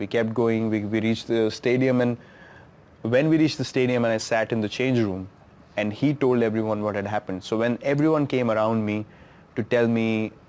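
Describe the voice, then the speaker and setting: A man speaks with an Indian accent. His pace is fairly quick and his intonation fairly even. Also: medium pitch for a man. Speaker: cricketer. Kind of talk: interview answer. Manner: reflective, emotional.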